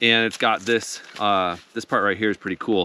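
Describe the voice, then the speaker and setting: A man with a plain, everyday voice speaks at a fairly low pitch and a moderate pace, with ordinary pitch variation and a dry sound with no echo. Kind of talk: casual vlog chat. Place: forest.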